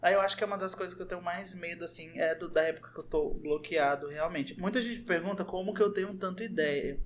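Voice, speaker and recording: Over noticeable background noise, a man talks at a very fast pace in a high voice with ordinary pitch variation. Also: hardly any pauses. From born in Brazil's Southeast, identifies as northeastern. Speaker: youtuber. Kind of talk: casual chat.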